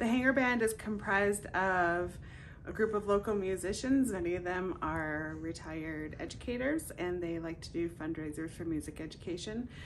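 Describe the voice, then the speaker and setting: A woman's voice at a moderate pace, lively in intonation, against noticeable background noise. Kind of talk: interview answer. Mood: cheerful, laughing. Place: home room. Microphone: phone near.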